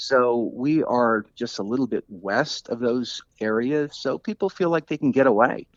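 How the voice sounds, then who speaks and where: This man talks at a fairly slow pace with hardly any pauses, a medium pitch and ordinary pitch variation. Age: 60s. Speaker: author and cyclist. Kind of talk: interview. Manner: halting, many fillers.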